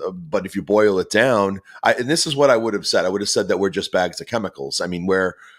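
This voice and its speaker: A man speaks with a Boston accent. His pitch is very deep and low. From Boston, US. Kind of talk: podcast interview. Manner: halting, many fillers and repetitions.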